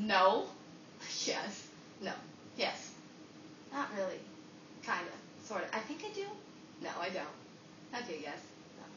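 Against noticeable background noise, a woman speaks at a fairly slow pace with long, frequent pauses. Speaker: comic performer. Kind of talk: acted comedy monologue. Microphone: camera far.

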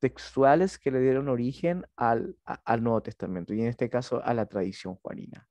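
A man speaks in a dark, mellow tone with lively intonation at a fairly slow pace. The sound is dry with no echo, over a quiet background. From Chile. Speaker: seminary lecturer. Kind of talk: lecture. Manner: halting, frequent fillers and repetitions. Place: home room. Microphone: headset.

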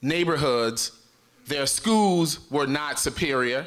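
A man speaks fairly slowly in an animated tone. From US Midwest, Chicago. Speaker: state legislator. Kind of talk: political speech. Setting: stage with audience. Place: hall. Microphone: podium.

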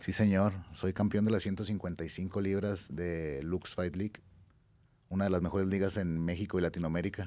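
Fairly slow and monotone, a man speaks with a very deep, low pitch and a dark, mellow tone. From Mexico, Durango. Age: 30s. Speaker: mixed martial arts fighter; podcast guest. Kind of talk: casual chat. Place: studio. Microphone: studio mic.

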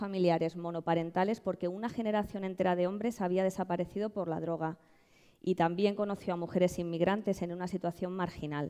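Over a quiet background, a woman with a Madrid accent speaks at a medium pitch in a dark, mellow tone, her intonation fairly even. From Madrid, Spain; Spain. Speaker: social entrepreneur. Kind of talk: award presentation speech. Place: stage. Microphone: headset.

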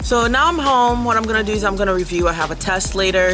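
Clear music plays in the background as the speaker goes at a fairly quick pace. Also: woman. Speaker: lifestyle vlogger. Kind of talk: casual vlog chat. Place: garden. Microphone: phone near.

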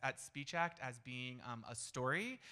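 Bright and sharp in tone, a man speaks with an American accent. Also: quiet background. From Florida. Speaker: storytelling event MC and facilitator. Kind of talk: event emceeing. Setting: stage with audience. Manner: animated. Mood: light, joking. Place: stage. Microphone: handheld.

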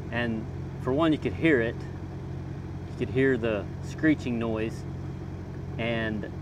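The sound is dry with no echo, though noticeable background noise is present. A man speaks at a fairly slow pace with ordinary pitch variation. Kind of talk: tutorial. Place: open country. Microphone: phone near.

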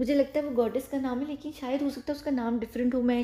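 Dark, mellow tone at a fairly quick pace. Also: woman. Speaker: YouTube commentator. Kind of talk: explainer monologue. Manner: animated.

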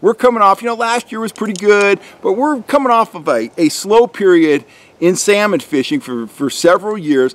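Lively intonation carries the voice along at a moderate pace. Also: man, high pitch for a man. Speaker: fishing guide. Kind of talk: tutorial. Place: forest.

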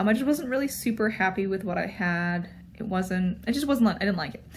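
A woman's voice comes through somewhat breathy. Her pitch shows ordinary variation. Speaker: vlogger. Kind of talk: casual vlog chat. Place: home room. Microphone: phone near.

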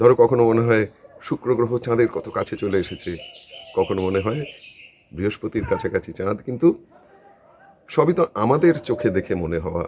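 Over noticeable background noise, a man speaks at a medium pitch with lively intonation. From northern Kolkata, West Bengal. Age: old. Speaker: retiree video blogger. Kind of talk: casual home-tour chat to viewers. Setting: walking tour of his house.

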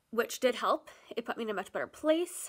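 Against a quiet background, a woman talks at a moderate pace with lively intonation. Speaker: vlogger. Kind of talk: personal story read from a script to camera. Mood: candid, personal, serious. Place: home room. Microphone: phone near.

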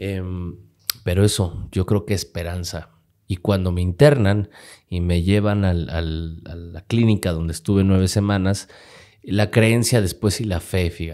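A man speaks at a fairly slow pace in a very deep, low voice with a dark, mellow tone and fairly even intonation over a quiet background. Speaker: radio host and speaker, podcast guest; radio host, speaker, podcast guest. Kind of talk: interview answer. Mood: earnest, reflective about hard times. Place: studio. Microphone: studio mic.

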